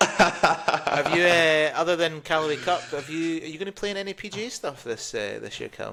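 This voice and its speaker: A fairly high-pitched man with a Scottish accent, big swings in loudness and hardly any pauses, over noticeable background noise. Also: ordinary pitch variation, moderate pace. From Scotland. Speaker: golf podcast co-host, former golf professional. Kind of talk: casual chat.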